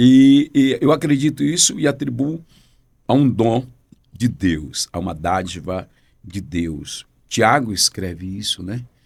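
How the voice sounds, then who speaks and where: Speaking at a very slow pace with long, frequent pauses, a man keeps a medium pitch but makes very wide pitch swings. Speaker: pastor and preacher. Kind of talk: interview conversation.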